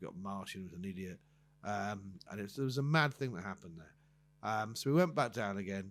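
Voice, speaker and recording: A man speaks at a very fast pace and fairly low pitch with ordinary pitch variation. His loudness swings a great deal. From southern England. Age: 60s. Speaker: comedian. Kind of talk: casual chat. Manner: halting.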